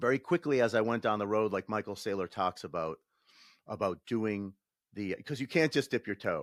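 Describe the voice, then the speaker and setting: Recorded very cleanly against a silent background, a man with an American accent speaks at a medium pitch and moderate pace, with ordinary pitch variation and a dry, close sound with no echo. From Massachusetts, north of Boston. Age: 60s. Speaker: former defense department worker, bitcoin investor. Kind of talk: podcast interview. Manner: hesitant, many fillers and restarts.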